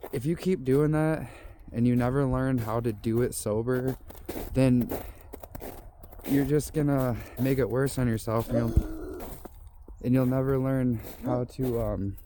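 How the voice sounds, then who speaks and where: A man with a medium-pitched voice speaks at a fairly slow pace with fairly even intonation, taking long, frequent pauses over noticeable background noise. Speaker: vlogger. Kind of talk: casual vlog monologue. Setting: outdoors on walking trail. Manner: rambling, halting.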